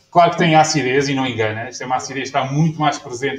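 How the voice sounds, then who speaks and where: Somewhat breathy, a man speaks with a fairly high pitch. His intonation is fairly even, and audible room echo is present. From Portugal. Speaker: winemaker. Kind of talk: lecture. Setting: stage with audience. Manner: halting. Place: bar. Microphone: camera far.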